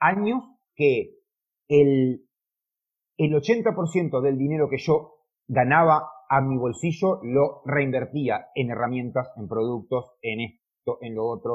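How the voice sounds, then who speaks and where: At a very slow pace, a man talks in a somewhat breathy voice with ordinary pitch variation. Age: 40s. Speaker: car detailer and YouTuber. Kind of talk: interview. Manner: halting.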